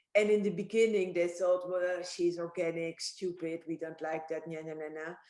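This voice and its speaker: In a Dutch accent, a woman speaks with a dark, mellow tone. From Netherlands. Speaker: winemaker. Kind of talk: casual chat.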